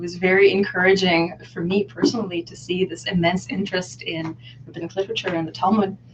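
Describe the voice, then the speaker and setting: Through noticeable background noise, a woman talks at a fairly quick pace. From Israel. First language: Hebrew. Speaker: scholar of rabbinic literature. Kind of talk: interview. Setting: live video hangout.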